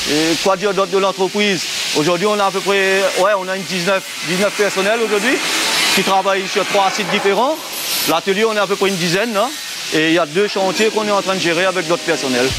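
The speech shows ordinary pitch variation, heard over loud background noise. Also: man. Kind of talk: interview answer. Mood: calm, modest. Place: workshop. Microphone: lapel.

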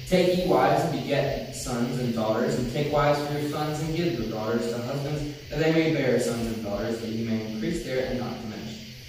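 Against noticeable background noise and strong room echo, a man talks with hardly any pauses and ordinary pitch variation. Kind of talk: scripture reading aloud. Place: church.

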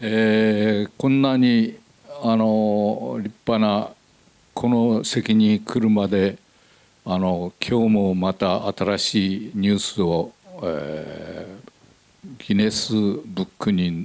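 This clip features a man's voice. His pitch moves with ordinary variation. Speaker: film actor. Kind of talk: stage greeting at film screening. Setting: stage with audience. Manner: halting. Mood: polite, hesitant, warm. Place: hall. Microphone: handheld.

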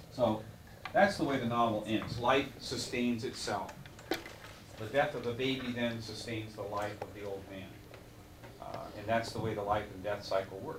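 Over noticeable background noise, a man talks at a moderate pace with fairly even intonation. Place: classroom. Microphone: old recording.

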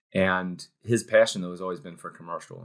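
Against a quiet background, a man with a Midwestern American accent talks at a very fast pace. His pitch is very deep and low. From Cincinnati, Ohio, US Midwest. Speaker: startup co-founder. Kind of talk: interview conversation. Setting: studio. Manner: animated. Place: home room. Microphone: webcam.

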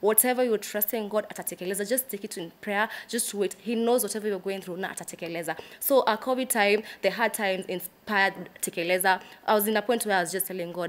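Fairly even intonation marks a woman's voice. She talks at a fairly quick pace. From Kenya. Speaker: gospel singer and songwriter; guest. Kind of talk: casual interview chat. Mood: warm, smiling, earnest. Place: studio.

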